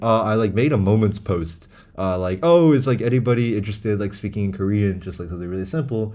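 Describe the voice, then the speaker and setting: A man's dark, mellow voice with an American accent, plus audible room echo. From United States, moved from China as a child. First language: Chinese. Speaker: language learning vlogger. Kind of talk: casual monologue. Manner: rambling, filler-heavy.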